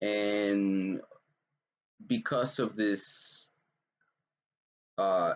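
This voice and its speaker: Ordinary pitch variation in a man's fairly low-pitched speech. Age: 20s. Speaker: vlogger. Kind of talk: casual commentary. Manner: halting, many fillers.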